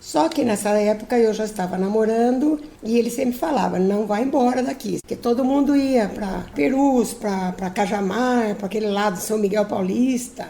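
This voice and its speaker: Over noticeable background noise, a woman talks at a moderate pace with hardly any pauses. Her pitch is fairly high, with ordinary variation. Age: 70s. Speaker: retired teacher. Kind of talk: personal testimony. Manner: some hesitations and repeated words.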